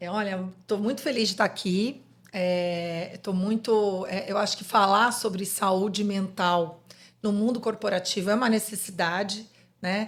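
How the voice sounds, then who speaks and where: A woman talks at a fairly slow pace with medium pitch and fairly even intonation in a plain, everyday voice. The recording is very clean, with a silent background. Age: 50s. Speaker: psychologist. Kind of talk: podcast interview.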